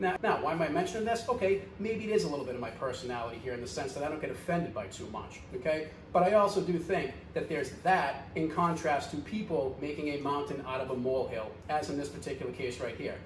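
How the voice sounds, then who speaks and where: Over noticeable background noise and audible room echo, a man with a Boston accent speaks very fast at a fairly high pitch with lively intonation. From US Northeast, Boston. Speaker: video commentator, business owner. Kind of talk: commentary vlog. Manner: fast, direct; animated.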